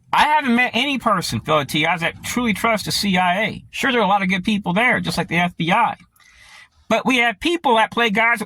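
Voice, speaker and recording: Over a dry, close sound with no echo, a man projects a raised, high-pitched voice with a bright, sharp tone, lively intonation and a fairly quick pace. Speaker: conspiracy vlogger. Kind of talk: monologue to camera. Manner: fast.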